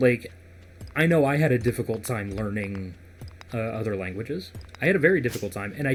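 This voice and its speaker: In an American accent, a somewhat breathy voice moves at a moderate pace with very wide pitch swings. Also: man. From United States. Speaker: gaming podcast host. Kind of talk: casual chat.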